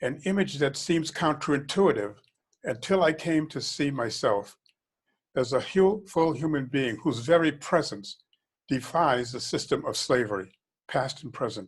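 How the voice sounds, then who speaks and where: A man with an American accent talks at a moderate pace. His voice is somewhat breathy and fairly high in pitch. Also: quiet background. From Boston, US Northeast. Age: 80s+. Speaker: author and diversity consultant. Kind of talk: reading aloud from own memoir. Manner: reflective, with small stumbles and restarts.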